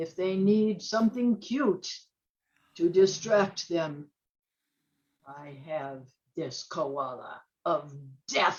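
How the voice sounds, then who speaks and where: In a put-on character voice, a female-sounding speaker with a fairly low pitch goes at a very slow pace, leaving long, frequent pauses. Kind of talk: B-movie villain overacting. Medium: stage play. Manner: eager, fawning.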